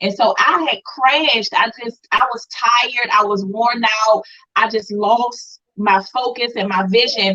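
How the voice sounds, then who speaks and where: A woman with an unremarkable speaking voice talks at a fairly slow pace, her fairly high pitch held in fairly even intonation. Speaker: brand coach, co-host of live class. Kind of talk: live online class talk, personal testimony.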